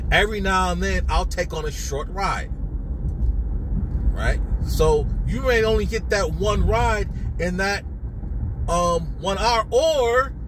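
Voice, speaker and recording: A man speaks at a very slow pace on a dry recording with no echo but noticeable background noise. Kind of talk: casual vlog commentary. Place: car. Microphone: phone near.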